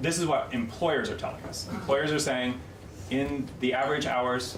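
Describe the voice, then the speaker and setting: Amid noticeable background noise and audible room echo, a man talks at a medium pitch with ordinary pitch variation. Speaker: state labor market economist. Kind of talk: legislative committee testimony. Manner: fast.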